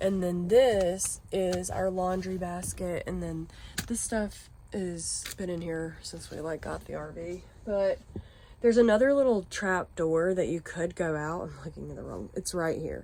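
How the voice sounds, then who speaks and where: The speech moves at a fairly slow pace with big swings in loudness. Noticeable background noise is present. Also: woman. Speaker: RV lifestyle vlogger. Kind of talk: home tour vlog. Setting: inside an RV. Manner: casual, filler-heavy; quiet outdoors.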